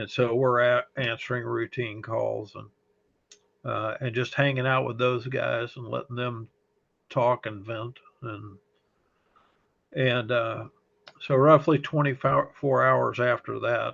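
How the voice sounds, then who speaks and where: Very slow delivery with long, frequent pauses and big swings in loudness. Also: man. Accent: slight Texas. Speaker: fire service chaplain. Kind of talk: interview testimony. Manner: halting, many fillers.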